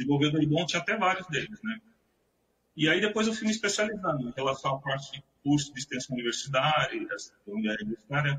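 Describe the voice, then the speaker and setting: A man talks very fast at a fairly high pitch. His pitch swings very widely. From São Vicente, Baixada Santista, Brazil. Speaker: IT professional. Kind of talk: interview.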